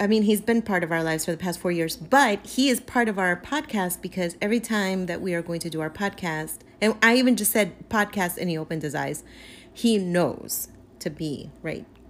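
A woman with a normal speaking voice talks at a fairly quick pace. Her pitch is medium and her intonation lively. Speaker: podcast co-host. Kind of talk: casual chat.

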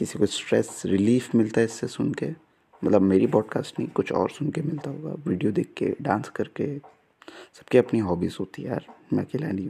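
A dark, mellow, somewhat breathy voice with lively intonation. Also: man, medium pitch for a man. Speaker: podcaster. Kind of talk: casual solo monologue. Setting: at home at night. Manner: soft-spoken; halting.

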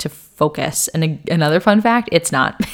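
At a moderate pace, this is an ordinary speaking voice. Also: woman. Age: 20s. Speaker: health and wellness podcast host. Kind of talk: casual solo podcast monologue. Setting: home recording on video.

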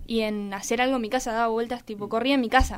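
A woman's fairly high pitch, an ordinary speaking voice, with fairly even intonation. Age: 20s. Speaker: athlete. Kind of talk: interview.

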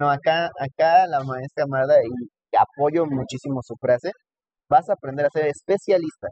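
The speaker is a man with a plain, everyday voice. He has a fairly high pitch and ordinary pitch variation. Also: moderate pace. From Mexico, Texcoco (State of Mexico). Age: 20s. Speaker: cardiovascular nurse and lecturer. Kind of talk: casual interview. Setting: in person recording.

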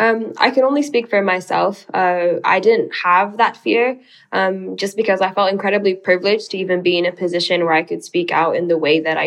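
A woman's ordinary speaking voice at medium pitch, with a fairly quick pace and ordinary pitch variation. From Sudanese American. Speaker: policy researcher. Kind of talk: casual interview.

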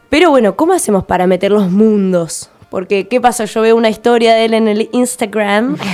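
A woman's fairly high voice at a moderate pace, ordinary pitch variation and very even loudness, with music in the background. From Argentina, Tierra del Fuego (Ushuaia). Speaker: visual artist and musician. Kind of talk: radio interview.

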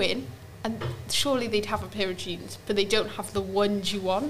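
A woman speaks in a medium pitch with lively intonation. Noticeable background noise can be heard. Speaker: podcast co-host. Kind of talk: casual chat.

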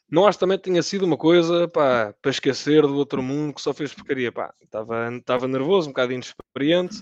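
A man with a normal speaking voice, fairly high in pitch, at a fairly quick pace with ordinary pitch variation, in a dry, close sound with no echo. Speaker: football podcast panelist. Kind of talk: casual chat.

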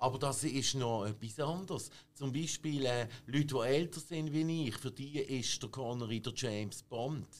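Using a normal speaking voice, a man talks at medium pitch and moderate pace with ordinary pitch variation. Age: 50s. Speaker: film expert. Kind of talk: casual chat.

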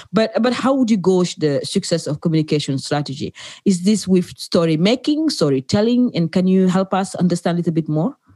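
A woman's somewhat breathy voice at medium pitch, dark and mellow in tone, with lively intonation, a fairly quick pace and hardly any pauses, in a dry, close sound with no echo. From Africa. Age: 40s. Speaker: podcast host. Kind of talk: interview.

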